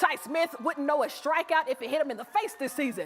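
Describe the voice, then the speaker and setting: In an East Texas accent, a woman speaks in an animated tone over noticeable background noise. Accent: Texan (East Texas) accent, noticeable. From East Texas, Longview. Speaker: sports reporter. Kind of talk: sports highlights narration; live field report. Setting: arena, live broadcast.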